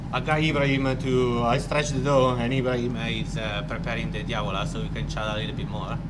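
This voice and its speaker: A man speaking very fast with an Italian accent, audible room echo and noticeable background noise. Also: hardly any pauses. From Italy, Milan. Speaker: restaurant owner and music agent. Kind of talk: casual interview. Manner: hesitant.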